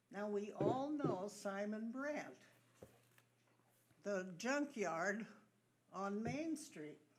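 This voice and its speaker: Very slow speech with long, frequent pauses and very wide pitch swings, amid audible room echo and noticeable background noise. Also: woman, medium pitch for a woman. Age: 80s+. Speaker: resident at public comment. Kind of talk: public comment at council meeting. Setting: borough council meeting.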